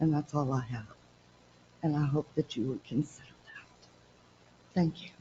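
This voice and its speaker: Speaking at a moderate pace with long, frequent pauses, a woman uses a very deep, low pitch, a somewhat breathy voice and fairly even intonation, while her loudness swings widely. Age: 60s. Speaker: resident. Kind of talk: public comment at council meeting. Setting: city council meeting.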